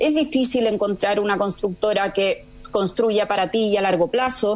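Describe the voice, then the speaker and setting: Noticeable background noise sits behind a woman's voice. She talks at a moderate pace. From Chile, moved to Spain at 18. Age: 40s. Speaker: entrepreneur, founder of eco-construction company. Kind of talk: radio interview.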